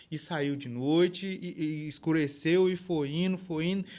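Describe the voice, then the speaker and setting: A normal speaking voice from a man, fairly high in pitch and fairly slow in pace, on a very clean recording with a silent background. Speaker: rural storyteller. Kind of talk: folksy oral storytelling. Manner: informal, conversational.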